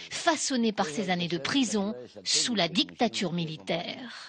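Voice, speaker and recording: A woman talks at a fairly slow pace, and her pitch swings very widely. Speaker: TV reporter. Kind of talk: TV news report narration.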